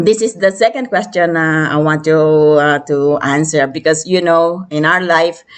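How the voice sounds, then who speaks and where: The speaker keeps a fairly slow pace. Pitch varies in an ordinary way. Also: woman, very even loudness. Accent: Filipino. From Philippines. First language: Filipino language. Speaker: interview host. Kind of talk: casual interview chat. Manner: hesitant, many fillers.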